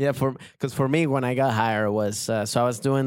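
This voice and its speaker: Speaking with a Spanish accent, a man keeps a moderate pace and fairly even intonation. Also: very clean recording, silent background. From Venezuela. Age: 30s. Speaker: comedian. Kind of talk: casual chat.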